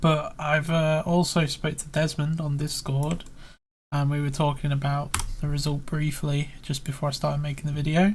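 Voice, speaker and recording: A man with a British accent speaks at a moderate pace. His voice is somewhat breathy, with monotone, flat intonation. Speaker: YouTuber analysing competition photos. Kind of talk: screen-recorded tutorial commentary. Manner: casual, hesitant with fillers.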